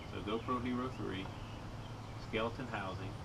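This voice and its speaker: Loud background noise runs beneath a man's speech. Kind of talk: casual spoken test narration. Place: street. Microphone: camera far.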